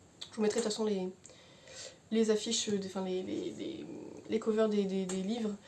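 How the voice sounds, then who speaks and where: A woman's mumbling with fairly even intonation. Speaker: book reviewer youtuber. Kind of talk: book review monologue. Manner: fast; mumbles words, hesitant.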